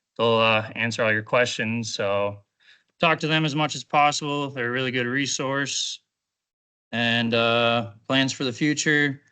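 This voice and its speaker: The voice carries an Upper Midwest accent and a bright, sharp tone, with fairly even intonation. It moves at a moderate pace against a quiet background. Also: man. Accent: Upper Midwest American. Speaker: carpentry apprentice graduate. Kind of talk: graduation speech to class. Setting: classroom with audience. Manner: casual, hesitant.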